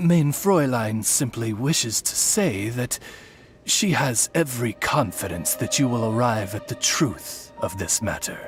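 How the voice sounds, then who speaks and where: Clear music sits in the background as a put-on character voice moves at a fairly slow pace. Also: man, medium pitch for a man. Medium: video game. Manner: formal, polished, courtly.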